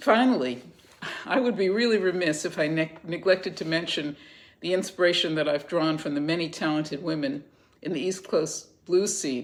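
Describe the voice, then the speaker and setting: A woman with a fairly low voice speaks at a moderate pace with ordinary pitch variation. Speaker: blues bassist and singer. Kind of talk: interview answers read from notes. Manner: halting, reading from notes.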